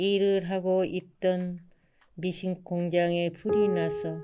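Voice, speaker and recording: Her tone is dark and mellow, at a medium pitch for a woman. She speaks at a very slow pace in a monotone, flat intonation. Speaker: adult literacy learner. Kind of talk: personal essay reading.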